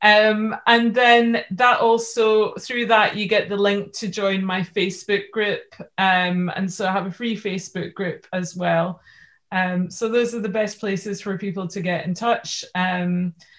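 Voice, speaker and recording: A woman with a Scottish accent speaks at a fairly slow pace, her medium-pitched voice keeping a fairly even intonation. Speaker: life coach. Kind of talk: interview.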